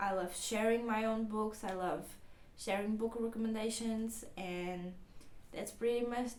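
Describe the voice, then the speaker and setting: A woman speaks with a Portuguese accent at a fairly high pitch, her intonation fairly even. Audible room echo surrounds her voice. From Portugal. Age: 20s. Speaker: book vlogger. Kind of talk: casual vlog talk. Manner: halting.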